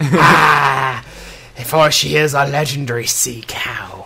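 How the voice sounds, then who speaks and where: This is a put-on character voice, raspy and pitched low-to-middle. It moves at a very slow pace. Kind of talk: archaic, theatrical.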